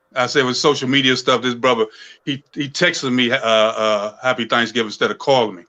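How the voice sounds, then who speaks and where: A man's medium-pitched voice with an American accent, a bright, sharp tone, fairly even intonation, big swings in loudness and a fairly quick pace. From Washington DC (Southeast, Anacostia). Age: 60s. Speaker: saxophonist. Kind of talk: casual interview chat. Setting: live stream interview. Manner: halting, many fillers.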